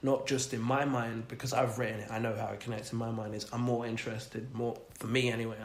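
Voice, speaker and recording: A man rattles along at a very fast pace with hardly any pauses and a monotone, flat intonation at medium pitch. Noticeable background noise runs underneath. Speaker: podcast host, poet. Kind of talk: casual podcast conversation. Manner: musical cadence.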